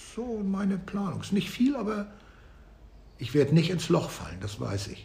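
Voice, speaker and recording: A man's fairly slow speech with long, frequent pauses and big swings in loudness, amid audible room echo and noticeable background noise. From northern Germany, Flensburg. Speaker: music and geography teacher. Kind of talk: interview.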